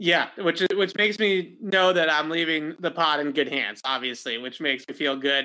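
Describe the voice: Speaking at a moderate pace, a man with a fairly high pitch and a bright, sharp tone keeps his intonation fairly even.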